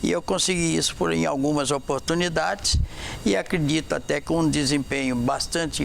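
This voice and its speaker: A man at a moderate pace and fairly high pitch, with noticeable background noise. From Vitória, Espírito Santo, Brazil. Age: 90. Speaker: veteran journalist. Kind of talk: TV interview.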